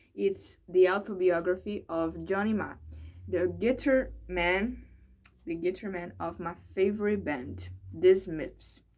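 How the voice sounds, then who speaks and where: This woman has a fairly low pitch and ordinary pitch variation, with a Brazilian accent. The recording is very clean, with a silent background. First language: Portuguese. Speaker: English learner vlogger. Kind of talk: casual vlog monologue. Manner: halting, hesitant with repetitions.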